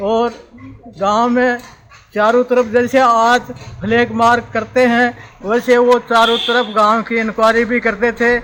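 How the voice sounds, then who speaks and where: A man with an extremely high voice speaks in a flat monotone as music plays in the background. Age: 70s. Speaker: village elder. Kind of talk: oral history interview.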